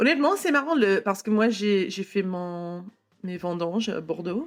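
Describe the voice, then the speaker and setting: A woman with an English accent speaks at a fairly slow pace with ordinary pitch variation. Music plays in the background. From California, US. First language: English (speaking French). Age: 30s. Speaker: wine entrepreneur. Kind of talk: casual interview chat. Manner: halting, hesitant French with English words.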